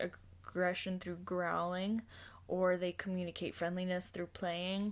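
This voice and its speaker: At a fairly slow pace, a woman speaks in a fairly low pitch, in a very clean recording with a silent background. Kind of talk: informal devotional lesson. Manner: halting, hesitant.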